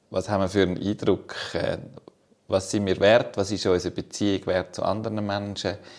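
A man's monotone, flat delivery in a Swiss accent, at a moderate pace with long, frequent pauses. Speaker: podcast co-host. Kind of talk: casual chat.

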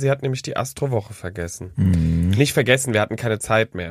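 A voice with very wide pitch swings races along at a very fast pace. The sound is dry and close with no echo, and music plays in the background. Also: man. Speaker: podcast co-host. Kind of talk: casual chat. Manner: animated.

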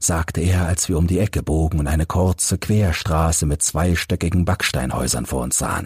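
On a very clean recording with a silent background, a man with an extremely low pitch, a husky, rough edge and a slightly mellow tone speaks at a moderate pace with ordinary pitch variation.

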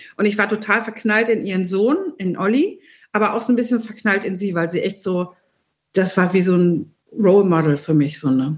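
At a moderate pace, a woman talks in a medium pitch with lively intonation and a somewhat breathy sound. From rural Germany, small farming village. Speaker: recipe developer and food columnist. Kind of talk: casual chat.

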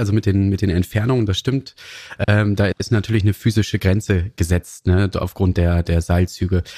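A man speaks in a fairly low pitch with a dark, mellow tone that is somewhat breathy, with fairly even intonation and very even loudness. The sound is dry and close with no echo, in a very clean recording with a silent background. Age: 40s. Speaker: train dispatcher. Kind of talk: interview conversation. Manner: hesitant with fillers.

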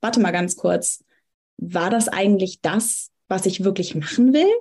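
A woman speaks very slowly. Her tone is dark and mellow, somewhat breathy. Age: 20s. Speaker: astrologer and psychology student. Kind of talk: casual interview. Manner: frequent hesitation fillers.

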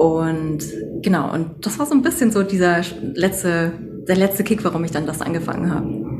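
A woman's voice, with ordinary pitch variation, carries audible room echo and noticeable background noise. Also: fairly low pitch for a woman, moderate pace. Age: 30s. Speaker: doctor and sound therapist. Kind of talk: interview.

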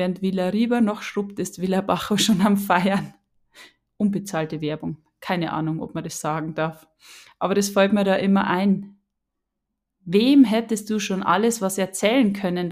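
In a Bavarian accent, a woman of medium pitch talks at a moderate pace with an animated tone. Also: very clean recording, silent background. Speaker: podcast host, spiritual coach. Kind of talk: casual solo monologue.

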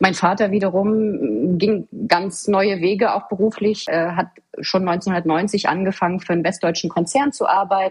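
A woman with a medium pitch and a somewhat breathy voice speaks at a fairly slow pace with fairly even intonation. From Mecklenburg-Vorpommern, eastern Germany (Waren an der Müritz). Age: 30s. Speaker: government official. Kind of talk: interview.

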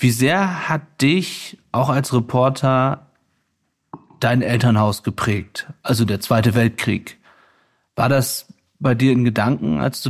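Here is a man with an ordinary speaking voice. His pitch is medium, with ordinary variation. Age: 30s. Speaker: podcast host and war reporter. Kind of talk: interview. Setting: at the guest's home.

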